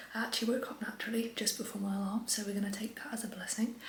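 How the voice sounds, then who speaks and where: A woman with a fairly high voice speaks in fairly even intonation, with audible room echo and noticeable background noise. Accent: English. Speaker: online fitness coach and vlogger. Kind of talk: casual vlog talk to camera. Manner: chatty with many fillers; quiet, soft-spoken.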